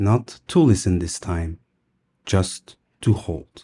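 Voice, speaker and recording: Against a quiet background, a voice with a dark, mellow tone and a non-native accent speaks with ordinary pitch variation. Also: man. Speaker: storyteller. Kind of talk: bedtime story reading for English learners. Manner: slow, soft-spoken.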